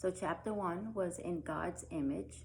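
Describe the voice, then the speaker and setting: A woman's fairly low voice with a slight Brooklyn accent. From Brooklyn, New York. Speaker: religious education teacher. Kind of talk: recorded lesson. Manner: casual, with many filler ums.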